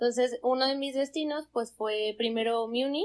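At a moderate pace, a plain, everyday voice carries fairly even intonation. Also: woman. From Mexico, Zamora, Michoacán. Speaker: podcast guest, traveler. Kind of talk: casual chat.

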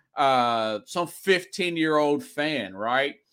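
With a Southern US accent, a man talks in a fairly high, bright, sharp voice with lively intonation, on a very clean recording with a silent background. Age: 40s. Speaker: sports talk show host. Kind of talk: solo sports talk show monologue.

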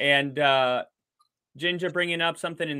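A man talks at a fairly quick pace with an American accent. His is an ordinary speaking voice with fairly even intonation. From Wisconsin. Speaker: football podcast host. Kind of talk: casual interview chat. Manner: laughs often.

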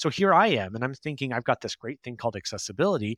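A man with a Canadian accent speaks at a very fast pace with very wide pitch swings, on a very clean recording with a silent background and a dry, close sound with no echo. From Canada. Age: 30s. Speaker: accessibility consultant. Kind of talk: interview.

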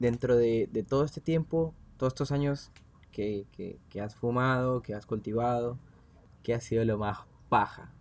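A man at a medium pitch speaks at a moderate pace with ordinary pitch variation and a Rioplatense accent. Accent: Argentine Rioplatense Spanish. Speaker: podcast host. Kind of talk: casual chat. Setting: at a home.

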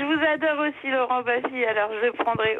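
A woman with a high voice and ordinary pitch variation speaks while noticeable background noise carries on. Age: 20s. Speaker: radio show caller, student. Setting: phone.

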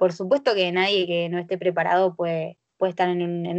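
This woman's intonation is monotone and flat, at a medium pitch. She keeps a moderate pace. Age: 20s. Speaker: sports club board member. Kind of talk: casual chat. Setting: video call.

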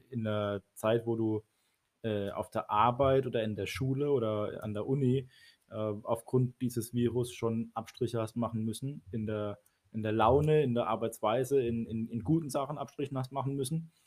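This man has an unremarkable speaking voice at a medium pitch. He keeps a moderate pace with fairly even intonation. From Baden, southwestern Germany. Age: 30s. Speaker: church youth leader and priest. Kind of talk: casual chat.

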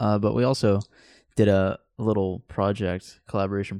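A man with an American accent speaks in a fairly low, dark, mellow voice and a flat monotone, with a dry, close sound with no echo and a quiet background. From southern Oregon. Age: 20s. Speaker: podcast co-host, college student. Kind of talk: casual chat. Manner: halting.

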